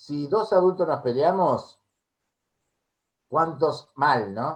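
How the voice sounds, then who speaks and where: With an Argentine accent, a man speaks at a very slow pace, his fairly high pitch showing ordinary variation. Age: 60s. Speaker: music therapist. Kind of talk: interview.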